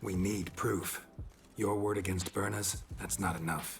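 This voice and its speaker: A man puts on a raspy character voice, pitched very deep and low, speaking at a fairly slow pace over clear background noise. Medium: video game.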